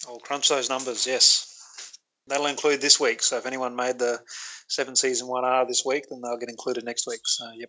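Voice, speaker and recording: With an Australian accent, a man talks at a fairly quick pace and medium pitch, his intonation monotone and flat but his loudness swinging widely. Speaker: statistics contributor. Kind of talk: casual chat.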